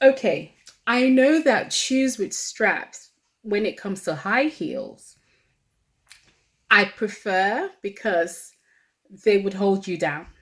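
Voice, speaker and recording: Using lively intonation, a woman at a medium pitch talks at a very slow pace with long, frequent pauses. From Nigeria. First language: Kalabari. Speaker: vlogger. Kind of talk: casual chat.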